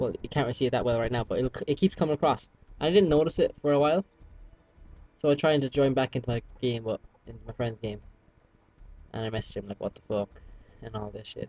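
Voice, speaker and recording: Talking at a very fast pace yet with long, frequent pauses, a man with a medium pitch and a dark, mellow tone shows ordinary pitch variation and big swings in loudness. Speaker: gamer commentating gameplay. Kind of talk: casual gameplay commentary. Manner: halting, many fillers.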